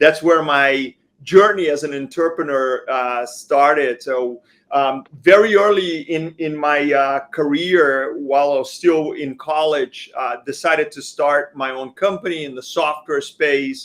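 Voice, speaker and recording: A man with a Brazilian accent at a fairly slow pace, fairly high in pitch with ordinary pitch variation and hardly any pauses. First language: Portuguese. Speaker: company founder. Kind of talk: panel interview. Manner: hesitant, many fillers.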